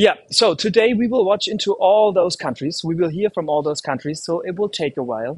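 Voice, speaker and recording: A man with a German accent, at a moderate pace and with lively intonation. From Germany. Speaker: livestream host. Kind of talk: live stream hosting. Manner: hesitant, many fillers; casual, animated.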